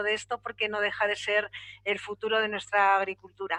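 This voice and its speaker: At a fairly quick pace, a woman speaks in a bright, sharp tone at a fairly high pitch, with a dry, close sound and no echo. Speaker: panel moderator. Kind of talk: moderating a panel discussion.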